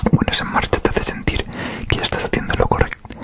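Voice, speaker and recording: A man is whispering. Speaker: ASMR creator. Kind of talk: audiobook-style reading of a self-help book. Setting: close microphone recording. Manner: whispered, soft-spoken, relaxing. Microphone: studio mic.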